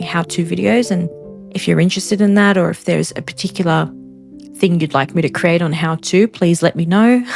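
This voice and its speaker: A woman at fairly low pitch, relaxed in tone, at a fairly quick pace with music in the background. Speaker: gaming content creator. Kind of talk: casual podcast-style chat over gameplay. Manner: relaxed, chatty.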